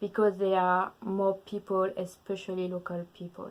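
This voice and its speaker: A woman with a French accent at a fairly slow pace, on a very clean recording with a silent background. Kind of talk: casual talk to camera.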